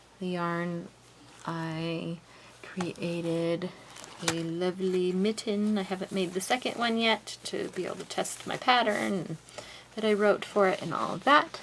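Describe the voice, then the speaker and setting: Medium pitch and ordinary pitch variation from a woman, with noticeable background noise. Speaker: knitter and pattern designer. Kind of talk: casual talk to camera.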